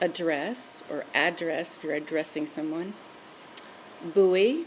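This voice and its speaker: Amid noticeable background noise, a woman with an American accent speaks very slowly in a fairly low pitch with lively intonation. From Louisiana, USA. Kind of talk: word list reading.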